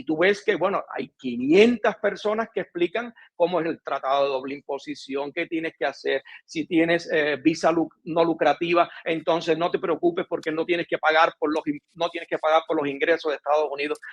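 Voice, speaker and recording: The tone is animated and the pace moderate. Pitch varies in an ordinary way. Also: man, high pitch for a man, hardly any pauses. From Cuba. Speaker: relocation consultant. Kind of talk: interview.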